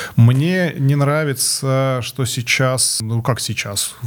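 Amid noticeable background noise, a man speaks at a very slow pace with a medium pitch and ordinary pitch variation. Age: 40s. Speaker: corporate manager, former musician. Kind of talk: casual chat. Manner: halting.

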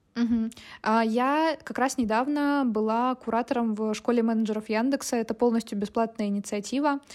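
The background is silent and the recording very clean. An ordinary speaking voice goes at a fairly quick pace, its intonation fairly even. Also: woman, fairly high pitch for a woman. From Russia, Chelyabinsk (Urals). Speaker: product marketer. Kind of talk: casual interview.

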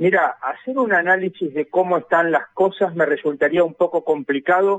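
A man with a high pitch talks at a moderate pace. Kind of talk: radio interview.

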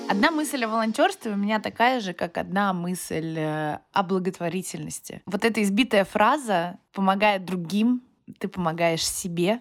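Pitch varies in an ordinary way in an ordinary speaking voice that goes at a fairly slow speed. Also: woman, medium pitch for a woman. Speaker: freelance makeup artist and fundraiser. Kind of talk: recorded voice message testimony.

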